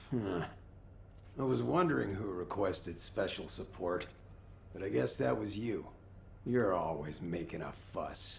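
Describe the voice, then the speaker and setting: Putting on a character voice, a man uses a very deep, low, raspy pitch with very wide swings, speaking at a moderate pace with long, frequent pauses over clear background noise. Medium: video game. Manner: gruff, grumbling.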